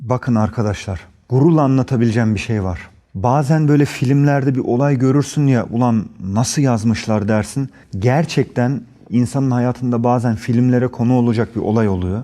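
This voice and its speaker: The speaker has a dark, mellow tone. The pace is moderate. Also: man, medium pitch for a man, ordinary pitch variation. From Germany. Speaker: actor. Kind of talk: interview. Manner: animated.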